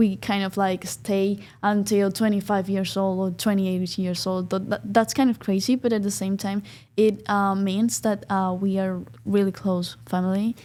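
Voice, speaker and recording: The recording is very clean, with a silent background. A woman speaks with a dark, mellow tone. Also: medium pitch for a woman, ordinary pitch variation, moderate pace. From Colombia, Bucaramanga. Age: 20s. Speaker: law student. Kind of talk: interview. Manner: halting, many fillers.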